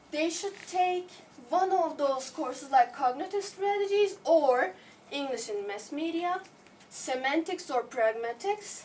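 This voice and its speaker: A woman speaks at a fairly slow pace in a Turkish accent. Her pitch is high and swings very widely. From Turkey. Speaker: visiting researcher. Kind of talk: lecture.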